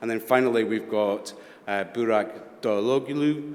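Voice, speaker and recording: Speaking with a Scottish accent, a man keeps a fairly slow pace. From Scotland. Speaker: panel moderator. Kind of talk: moderated panel discussion.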